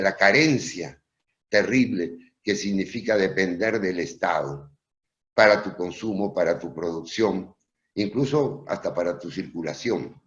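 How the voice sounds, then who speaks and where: A man speaks at a fairly slow pace. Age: 70s. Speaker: professor. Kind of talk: Q&A after an online lecture. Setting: video call.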